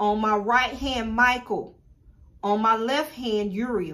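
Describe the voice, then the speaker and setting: Through audible room echo, a woman with an American accent and a fairly high voice speaks at a very slow pace. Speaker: spiritual teacher and shop owner. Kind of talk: tutorial.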